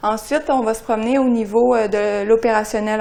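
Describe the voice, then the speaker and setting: A woman speaks with a Quebec accent at a fairly high pitch. Her tone is dark and mellow. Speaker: climate services scientist. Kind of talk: seminar presentation. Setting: seminar room with audience. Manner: hesitant, frequent euh.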